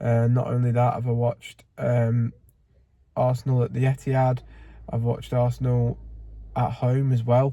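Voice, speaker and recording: A somewhat breathy voice with a northern English accent, a dark, mellow tone, flat monotone intonation and a moderate pace. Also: man. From northern England, near Manchester (Bury). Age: 20s. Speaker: football fan vlogger. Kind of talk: casual vlog monologue. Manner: casual, with frequent fillers.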